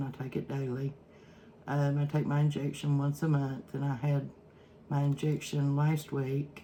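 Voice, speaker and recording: A woman speaks in an Eastern Kentucky accent. Her pitch is very deep and low. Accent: Eastern Kentucky Appalachian. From Eastern Kentucky, Prestonsburg. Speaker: cooking vlogger. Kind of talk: casual cooking vlog talk. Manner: halting, many fillers.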